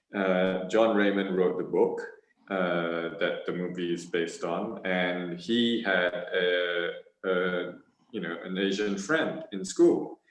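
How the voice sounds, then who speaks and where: Amid audible room echo, a man with a very deep, low pitch and ordinary pitch variation speaks very slowly. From Hong Kong, then Malaysia and Australia. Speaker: actor. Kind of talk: panel discussion. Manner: halting, many fillers.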